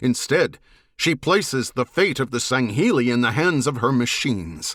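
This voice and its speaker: In a very clean recording with a silent background, a man uses a put-on character voice at a medium pitch. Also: moderate pace. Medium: read story. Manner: blunt, wary.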